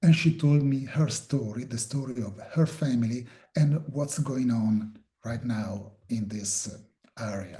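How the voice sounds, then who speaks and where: Delivered at a fairly slow pace in an Italian accent, the voice has a dark, mellow tone, a somewhat breathy quality and ordinary pitch variation. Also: man, medium pitch for a man. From Italy. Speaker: filmmaker and journalist. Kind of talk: interview. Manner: halting, many fillers.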